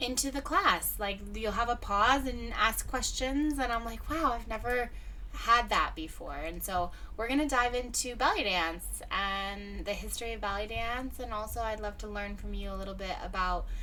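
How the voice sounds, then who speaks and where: A woman talks at a moderate pace. Noticeable background noise and audible room echo fill the recording. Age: 30s. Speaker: radio host. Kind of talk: interview. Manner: animated.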